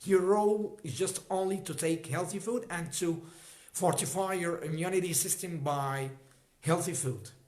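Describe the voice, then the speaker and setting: A man with an Arabic accent speaks at a moderate pace in a high voice with ordinary pitch variation, and the room echo is audible. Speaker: health educator. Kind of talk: livestream talk. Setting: livestream. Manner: halting.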